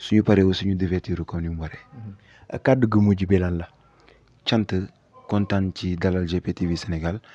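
A man with a Senegalese accent and a very deep, low pitch speaks in a dark, mellow tone at a very slow pace, with fairly even intonation, long, frequent pauses and a dry sound with no echo. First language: Wolof (speaking French). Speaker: public relations officer of a youth civic movement. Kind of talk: interview, mixing Wolof and French. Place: home room. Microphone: handheld.

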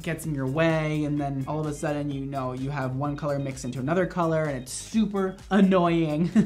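With hardly any pauses, a man talks at a fairly quick pace and fairly even intonation over light background noise. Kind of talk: tutorial. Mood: playful, joking. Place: studio.

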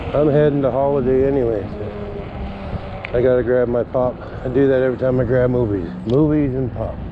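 Medium-pitched man with fairly even intonation amid noticeable background noise. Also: moderate pace. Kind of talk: casual vlog narration while riding. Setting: outdoors.

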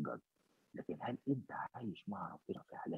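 A man talks at a moderate pace in a dry sound with no echo against a quiet background. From Egypt. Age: 60s. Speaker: bishop. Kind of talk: interview. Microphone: video call.

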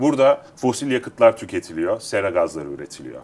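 A man's medium-pitched voice at a moderate pace, with vocal fry. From Turkey, Istanbul. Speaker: agritech company founder; guest. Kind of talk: interview. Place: studio. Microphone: lapel.

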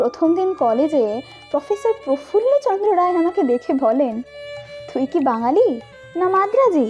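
A woman's extremely high voice with very wide pitch swings over music in the background. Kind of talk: first-person biographical narration.

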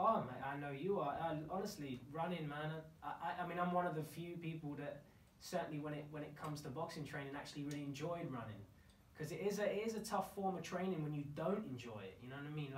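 Very rapid talk in a room with audible echo and ordinary pitch movement. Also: man, fairly high pitch for a man. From London. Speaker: actor. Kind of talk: podcast interview answer. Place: home room.

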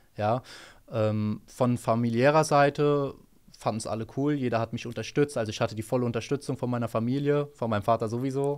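Speaking at a fairly quick pace in an unremarkable speaking voice, a man keeps a medium pitch and fairly even intonation on a very clean recording with a silent background. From Hesse, Germany (Rödermark). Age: 20s. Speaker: trader, former car mechanic. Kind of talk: interview answers. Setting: office.

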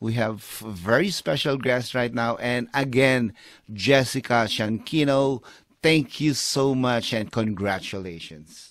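A man speaks at a fairly slow pace with ordinary pitch variation. The sound is dry with no echo. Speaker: talk show host. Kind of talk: casual interview. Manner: animated. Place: home room. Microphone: studio mic.

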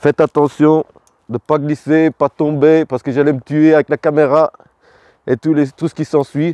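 At a fairly slow pace, a man speaks in a dark, mellow tone, the sound dry with no echo and the background quiet. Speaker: vlogger. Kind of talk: casual vlog chat, joke telling. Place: garden. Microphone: phone near.

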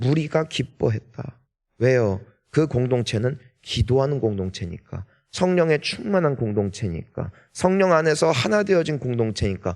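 A man at a fairly slow pace, very even in loudness, with very wide pitch swings and a quiet background. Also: medium pitch for a man. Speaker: pastor. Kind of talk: sermon; reading aloud. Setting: church.

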